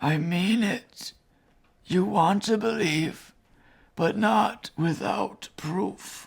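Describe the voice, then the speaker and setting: A raspy, put-on character voice sits at a middle pitch. It moves at a very slow pace. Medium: short film. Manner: grave, formal, measured.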